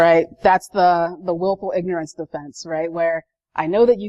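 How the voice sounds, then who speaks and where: A woman with a fairly low pitch and a dark, mellow tone talks at a moderate pace over a quiet background, the sound dry and close with no echo. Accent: American. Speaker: information security analyst, conference speaker. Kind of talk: conference talk. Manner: conversational, many fillers.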